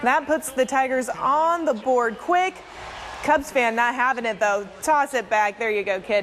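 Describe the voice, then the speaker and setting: With noticeable background noise, a woman speaks at a fairly slow pace in a high pitch with lively intonation. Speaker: sports anchor and reporter. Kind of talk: sports highlights read.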